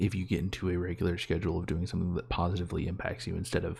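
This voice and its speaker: In a very clean recording with a silent background, a soft-spoken man whispers in a somewhat breathy way. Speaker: solo vlogger. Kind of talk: casual monologue. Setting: home bedroom, quiet for parents. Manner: soft-spoken, near whisper; halting.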